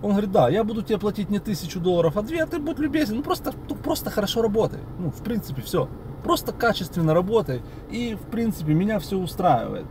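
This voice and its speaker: A man speaks very fast in a high voice with very wide pitch swings, the sound dry with no echo and noticeable background noise behind him. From Odesa, Ukraine. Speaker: video blogger. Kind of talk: casual storytelling to camera. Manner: animated, colloquial. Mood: ironic, mocking. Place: car. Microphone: phone near.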